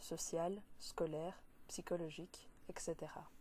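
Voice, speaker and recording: In a Belgian accent, a woman speaks at a very slow pace and a fairly low pitch. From Belgium. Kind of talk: read speech for interpreting practice.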